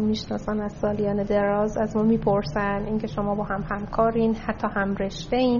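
A plain, everyday voice, fairly quick in pace, with fairly even intonation. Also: woman. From Tehran, Iran. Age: 30s. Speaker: investment company CEO. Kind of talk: interview.

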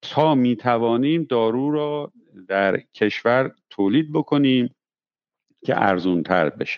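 A man speaks at medium pitch and a very slow pace. His loudness stays very even. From Tehran, Iran. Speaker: pharmaceutical executive and physician. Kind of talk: interview.

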